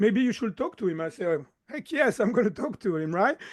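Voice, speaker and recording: A high-pitched male voice with a slight French accent. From southern France. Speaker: chiropractor and mind-body coach. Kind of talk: podcast interview.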